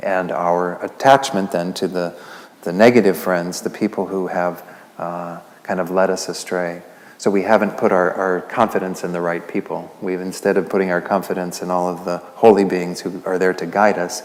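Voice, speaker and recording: A man speaks softly at a very deep, low pitch. Background noise is noticeable. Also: moderate pace. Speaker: Buddhist lay teacher. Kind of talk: Buddhist teaching talk to a class. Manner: soft-spoken.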